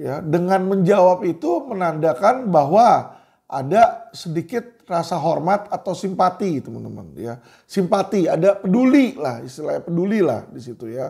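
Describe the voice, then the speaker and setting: A man speaks at a moderate pace with a high pitch and a dark, mellow tone. His intonation is lively, and his loudness swings widely. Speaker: lawyer and commentator. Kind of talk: monologue commentary to viewers. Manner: casual, with frequent fillers.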